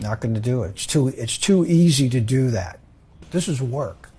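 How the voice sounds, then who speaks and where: With a dark, mellow tone and some breathiness, a man talks at a moderate pace in a medium pitch with lively intonation. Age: 70s. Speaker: jiu-jitsu practitioner. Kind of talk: documentary interview.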